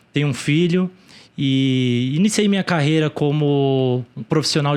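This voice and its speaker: A man talks at a fairly slow pace with a fairly high pitch. It is an ordinary speaking voice. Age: 30s. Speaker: e-commerce entrepreneur. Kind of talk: interview.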